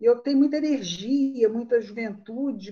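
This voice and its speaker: A woman's voice sits at a high pitch with a dark, mellow tone. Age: 60s. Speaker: writer and storyteller. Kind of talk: casual chat.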